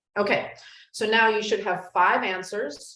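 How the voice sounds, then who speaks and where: Audible room echo surrounds a woman's voice. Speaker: yoga teacher and life coach. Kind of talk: online class instruction. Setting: video call with screen share.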